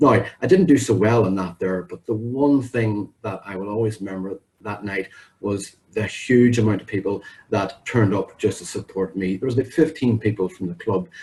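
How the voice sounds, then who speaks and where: A man with a somewhat breathy, fairly low voice speaks at a moderate pace with ordinary pitch variation. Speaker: public speaking club member. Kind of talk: prepared speech. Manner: clear and well-paused.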